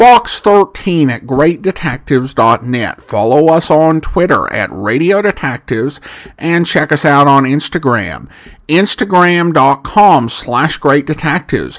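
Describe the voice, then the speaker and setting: Speaking at a fairly slow pace, a man with a fairly high pitch and lively intonation has an unremarkable speaking voice. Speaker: podcast host. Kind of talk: casual podcast intro and episode commentary.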